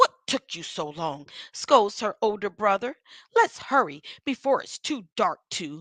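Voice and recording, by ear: Lively intonation marks this reading aloud in a natural voice, set against a quiet background.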